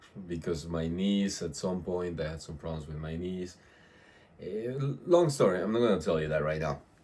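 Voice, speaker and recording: A man speaks at a moderate pace in a very deep voice with a dark, mellow tone. His pitch varies in an ordinary way, and room echo is audible. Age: 30s. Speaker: fitness vlogger. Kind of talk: casual vlog monologue. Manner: halting, many fillers and repetitions. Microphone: no external microphone, built-in audio.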